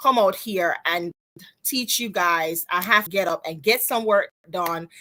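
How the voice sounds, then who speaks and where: In a Jamaican accent, a woman speaks at a moderate pace with lively intonation and a bright, sharp tone, on a very clean recording with a silent background. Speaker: business coach. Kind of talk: live stream talk to viewers. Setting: live stream on social media. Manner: casual, chatty.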